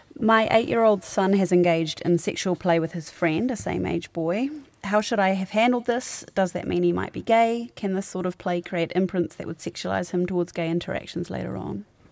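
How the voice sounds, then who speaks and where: A woman talks at a fairly quick pace in a New Zealand accent. Her pitch varies in an ordinary way. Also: fairly low pitch for a woman, hardly any pauses. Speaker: podcast host and producer. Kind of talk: live radio advice show. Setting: studio.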